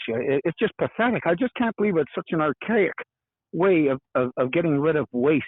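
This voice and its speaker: This voice swings very widely in pitch and moves at a fairly quick pace. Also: man. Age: 70s. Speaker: environmental advocate, retired hiker. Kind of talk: interview. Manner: halting, repetitive.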